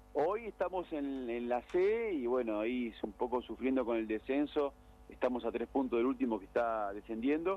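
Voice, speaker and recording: At a moderate pace and medium pitch, a man talks with lively intonation. His is an unremarkable speaking voice. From Argentina. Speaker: radio segment reporter on sports clubs. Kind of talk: casual radio chat.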